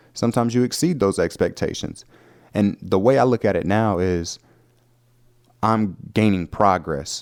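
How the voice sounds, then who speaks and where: Speaking at a fairly slow pace with a Southern US accent, a man keeps his loudness very even and his pitch variation ordinary, in a very clean recording with a silent background. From US South. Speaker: podcast host. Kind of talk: casual podcast monologue. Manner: conversational, filler-heavy.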